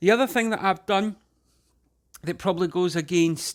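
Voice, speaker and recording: Here is a man with a Scottish accent. His tone is relaxed. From Scotland. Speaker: home cook. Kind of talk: casual cooking tutorial to camera. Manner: relaxed, hesitant.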